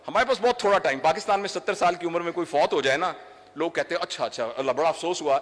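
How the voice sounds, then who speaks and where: Lively intonation from a man in a high pitch, with noticeable background noise behind him. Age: 60s. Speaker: doctor and trainer. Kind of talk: public speech. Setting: stage with audience.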